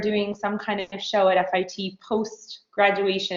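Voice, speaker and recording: A woman at medium pitch with a plain, everyday voice, moving at a moderate pace. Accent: American. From New York. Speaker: fashion designer. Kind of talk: interview.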